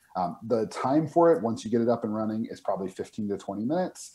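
With a dark, mellow tone at medium pitch, a man talks at a fairly quick pace and makes very wide pitch swings. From New Mexico. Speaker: board game publisher. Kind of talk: game demo interview. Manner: halting, many fillers and repeats. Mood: friendly, enthusiastic. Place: home room. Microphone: video call.

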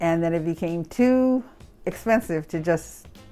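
A fairly low-pitched woman at a fairly slow pace with lively intonation, music in the background. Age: 80s+. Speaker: cake business owner, former mayor. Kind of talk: interview answer. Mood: proud, warm.

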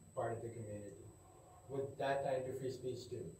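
Audible room echo surrounds the voice. Light background noise is present too. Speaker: student. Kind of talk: testimony. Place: classroom. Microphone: camera far.

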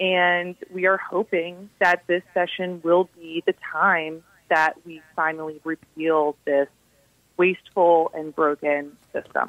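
In an American accent, a woman speaks at a very slow pace with a fairly low pitch. Her intonation is monotone and flat, while her loudness swings widely. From US Midwest, southwest Ohio. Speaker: anti-death-penalty advocacy director. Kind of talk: radio interview.

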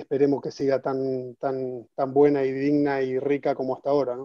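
A man talks at a moderate pace in a fairly high, monotone voice with flat intonation. The sound is dry with no echo, over a quiet background. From Argentina, Buenos Aires. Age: 40s. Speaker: retired football striker; guest. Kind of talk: interview. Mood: reflective, nostalgic. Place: home room. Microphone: video call.

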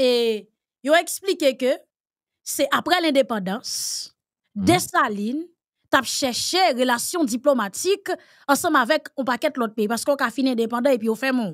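A high-pitched woman with a Haitian accent, lively intonation, a fairly slow pace and long, frequent pauses, against a quiet background. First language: Haitian Creole (speaking French). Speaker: political commentator. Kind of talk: panel discussion. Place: studio.

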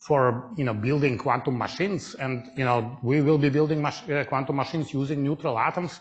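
A man's fairly quick delivery with hardly any pauses, ordinary pitch variation, and music in the background. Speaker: physics lecturer. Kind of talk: lecture. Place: hall.

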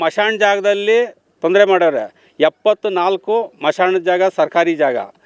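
Speaking with fairly even intonation, a man uses a high pitch. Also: dry, close sound with no echo. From Karnataka, Hosakote area near Bengaluru. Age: 60s. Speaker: farmer. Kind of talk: on-the-spot news interview. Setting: outdoors at the village site.

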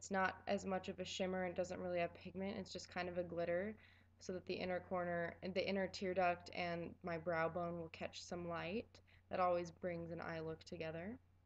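A woman speaks at a moderate pace in a fairly low voice, sounding bored and delivering her words in a flat monotone. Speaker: makeup tutorial creator. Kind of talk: makeup tutorial voiceover. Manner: monotone, bored.

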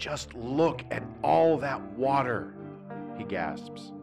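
Very wide pitch swings mark this voice, heard with music in the background. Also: man. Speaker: poet. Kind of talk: poetry reading.

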